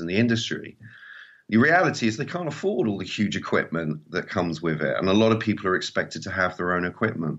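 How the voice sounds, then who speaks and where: Speaking very fast, a man talks with an English accent. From England, small seaside town. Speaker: mobile filmmaker and trainer. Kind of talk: interview conversation.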